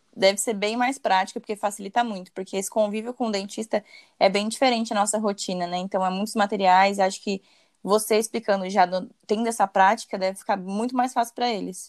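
A woman speaks in a normal speaking voice at a fairly quick pace, her intonation fairly even. The sound is dry and close, with no echo. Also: medium pitch for a woman. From São Paulo, Brazil. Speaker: podcast host, dentist. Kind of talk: casual interview.

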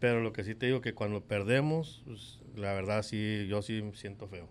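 A man with a normal speaking voice talks fairly slowly at medium pitch with ordinary pitch variation. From Mexico, Guadalajara, Jalisco. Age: 50s. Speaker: baseball clubhouse attendant. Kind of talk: interview.

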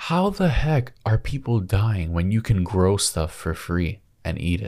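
Over a very clean recording with a silent background, a man speaks at a very slow pace. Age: 20s. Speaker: podcast co-host. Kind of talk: casual chat.

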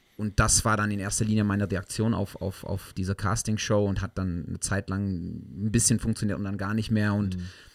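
In a very clean recording with a silent background, a man with a slight South African accent speaks at a fairly low pitch in a monotone, flat intonation. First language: English (speaking German). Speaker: musician. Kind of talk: casual chat. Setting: studio.

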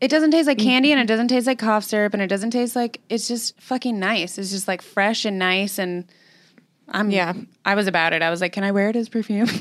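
With a normal speaking voice and a fairly high pitch, a woman talks at a fairly quick pace in a very clean recording with a silent background. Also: ordinary pitch variation. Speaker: podcast co-host. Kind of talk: casual comedic chat.

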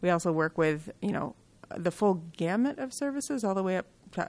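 At a fairly quick pace, a woman talks in a normal speaking voice with an American accent. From Michigan (Kalamazoo). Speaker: behavioral health executive. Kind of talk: interview.

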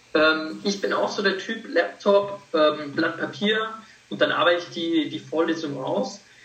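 High-pitched and lively in intonation, a man speaks at a fairly slow pace with audible room echo and noticeable background noise. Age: 20s. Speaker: medical student. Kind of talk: interview.

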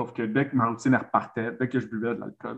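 Monotone, flat delivery from a man at medium pitch and moderate pace, with vocal fry. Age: 30s. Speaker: men's coach. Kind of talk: interview conversation. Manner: halting, many repetitions.

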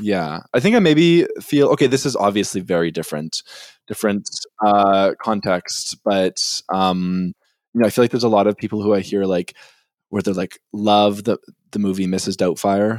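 Heard on a very clean recording with a silent background and a dry, close sound with no echo, a man with a Canadian accent and an unremarkable speaking voice talks at a moderate pace in a fairly low pitch with ordinary pitch variation. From Winnipeg, Canada. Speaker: podcast co-host. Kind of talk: casual chat.

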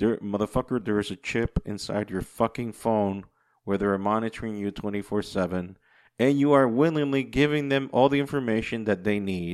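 The voice is a plain, everyday voice with ordinary pitch variation, heard against a quiet background. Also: man. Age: 40s. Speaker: podcast host. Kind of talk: casual solo monologue.

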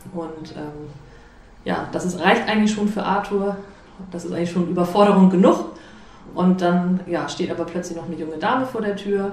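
Through audible room echo and noticeable background noise, a woman with fairly low pitch speaks at a moderate pace, with fairly even intonation, big swings in loudness and long, frequent pauses. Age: 30s. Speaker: amateur theatre director. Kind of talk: interview.

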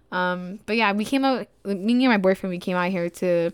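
With an American accent, a woman talks at a moderate pace and medium pitch on a very clean recording with a silent background. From Texas, Dallas. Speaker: podcast host and entrepreneur. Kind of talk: casual personal monologue. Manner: hesitant with fillers.

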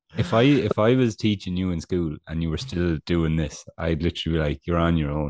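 A man with a very deep, low pitch speaks in an animated tone, with ordinary pitch variation and hardly any pauses. The sound is dry and close, with no echo. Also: fairly quick pace. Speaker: podcast co-host. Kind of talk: casual sports podcast chat. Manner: self-deprecating, animated.

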